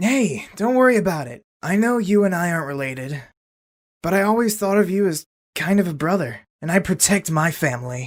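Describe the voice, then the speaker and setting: Pitched in the middle range, this voice is a put-on character. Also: fairly quick pace. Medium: audio drama. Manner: casual, joking.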